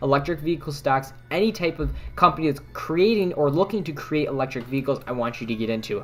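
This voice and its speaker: Very fast delivery against noticeable background noise. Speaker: stock trading livestreamer. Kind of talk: livestream stock commentary reading chat questions.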